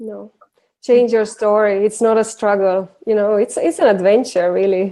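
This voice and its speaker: With a non-native accent, a woman talks in a fairly high voice for a woman, her tone dark and mellow and her intonation fairly even. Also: moderate pace. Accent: foreign accent, noticeable. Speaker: women's empowerment coach. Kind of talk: casual interview chat.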